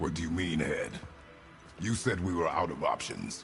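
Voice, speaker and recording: With clear background noise, a man growls in a cartoonish character voice at a moderate pace. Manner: terse, clipped, no contractions.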